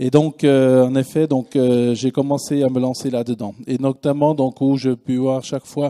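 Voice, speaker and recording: A man speaks with a fairly high pitch and a dark, mellow tone. The sound is dry and close with no echo, in a very clean recording with a silent background. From Switzerland. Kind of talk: conference talk. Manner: hesitant, many fillers.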